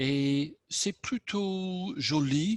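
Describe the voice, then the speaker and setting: The sound is dry and close with no echo as a man speaks with an English accent. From southern England. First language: English (speaking French). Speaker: club member. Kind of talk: impromptu speech.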